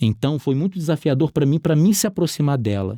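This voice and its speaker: This man has a dark, mellow tone and a Rio de Janeiro accent, speaking at a moderate pace. The very clean recording has a silent background and a dry, close sound with no echo. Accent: carioca. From Rio de Janeiro, Brazil. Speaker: entrepreneur. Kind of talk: interview testimony.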